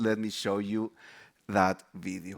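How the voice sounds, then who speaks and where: Recorded very cleanly against a silent background, a man speaks with a Chilean accent. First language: Spanish. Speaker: developer advocate. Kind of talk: conference presentation.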